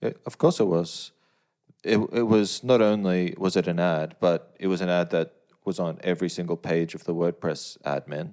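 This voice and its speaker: Speaking at a moderate pace with an Australian accent, the voice keeps a fairly even intonation in a very clean recording, silent background. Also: man. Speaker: plugin developer. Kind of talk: casual chat.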